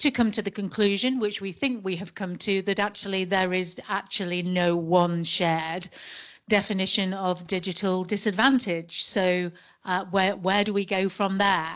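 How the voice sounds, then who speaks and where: A woman with a British accent, medium pitch, fairly even intonation and a moderate pace, against a quiet background. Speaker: law professor and solicitor chairing a forum session. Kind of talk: conference session introduction. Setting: conference room with audience. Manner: naturally loud; hesitant, with repeated words.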